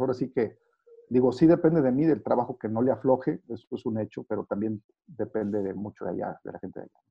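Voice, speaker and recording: A man speaks in a normal speaking voice at a moderate pace, with ordinary pitch variation. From northern Mexico, Saltillo. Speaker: sports journalist. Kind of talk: interview.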